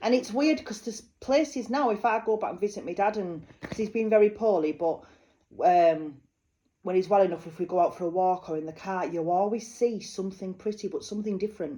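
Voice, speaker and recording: A woman's medium-pitched voice with a Yorkshire accent, dark and mellow in tone, ordinary in pitch variation, at a fairly quick pace. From northern England, North Yorkshire (Malton). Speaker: psychic medium. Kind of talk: psychic card reading. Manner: chatty, informal.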